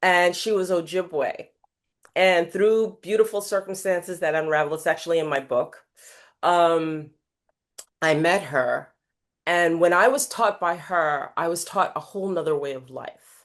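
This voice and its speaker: A woman with an American accent and an unremarkable speaking voice, fairly low in pitch with ordinary pitch variation, at a fairly slow pace against a quiet background. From New York City (Queens). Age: 60s. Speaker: life coach and keynote speaker. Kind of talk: podcast interview.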